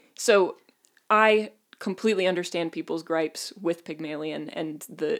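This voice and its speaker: Recorded very cleanly against a silent background, a woman with a normal speaking voice and a fairly low pitch talks at a moderate pace. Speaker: podcast co-host. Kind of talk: casual chat.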